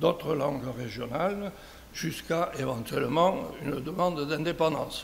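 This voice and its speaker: Speaking at a very slow pace, a man with a fairly high voice and ordinary pitch variation is heard amid noticeable background noise and audible room echo. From southern France, Béziers. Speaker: conference speaker. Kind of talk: conference talk. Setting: round table with audience.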